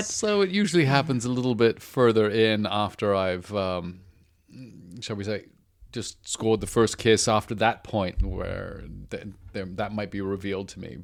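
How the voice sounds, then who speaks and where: Heard in a very clean recording with a silent background, a man with a British accent speaks at a moderate pace, his fairly low pitch showing ordinary variation amid big swings in loudness. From Britain. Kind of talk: interview answer.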